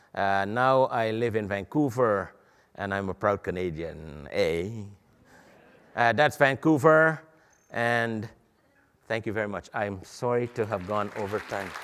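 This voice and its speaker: In a Guyanese accent, a man with a fairly low pitch speaks at a fairly slow pace with lively intonation and long, frequent pauses, on a very clean recording with a silent background. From Guyana. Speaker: medical imaging educator. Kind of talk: lecture. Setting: stage with audience at a conference.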